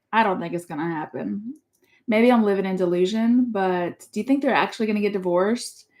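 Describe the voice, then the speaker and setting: Talking at a fairly quick pace, a woman has an unremarkable speaking voice, medium pitch and ordinary pitch variation. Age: 40s. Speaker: parent co-host. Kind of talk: casual chat.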